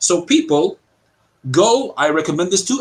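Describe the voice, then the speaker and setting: A man's high-pitched voice with very wide pitch swings and an American accent. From Cyprus. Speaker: online commentator. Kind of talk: interview.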